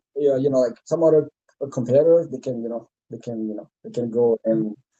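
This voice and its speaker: A man with a slight French accent speaks at a fairly quick pace in a dark, mellow tone with ordinary pitch variation. The sound is dry and close, with no echo. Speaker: CTO candidate, software architect. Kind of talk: job interview. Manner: halting, many fillers.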